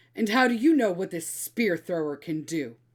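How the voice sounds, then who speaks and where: Using a put-on character voice, a woman growls at medium pitch and a moderate pace, her pitch swinging very widely. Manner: sneering.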